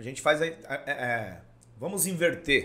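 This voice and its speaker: A man speaks at a fairly slow pace. His tone is bright and sharp, with lively intonation. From Praia Grande, São Paulo coast, Brazil. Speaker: city councillor. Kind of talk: podcast interview.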